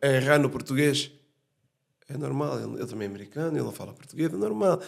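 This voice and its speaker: A man at medium pitch, with ordinary pitch variation, has an unremarkable speaking voice. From Portugal. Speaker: podcast host. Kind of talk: casual chat.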